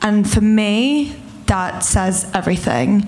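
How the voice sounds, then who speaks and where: A woman's voice with audible room echo and noticeable background noise. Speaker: film award recipient. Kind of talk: acceptance speech.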